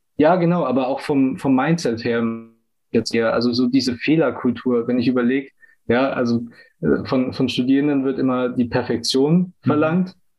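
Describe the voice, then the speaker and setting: An ordinary speaking voice, with ordinary pitch variation and very even loudness, moves at a moderate pace. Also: man, medium pitch for a man. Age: 20s. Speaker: business student and agile coach. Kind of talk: casual interview chat.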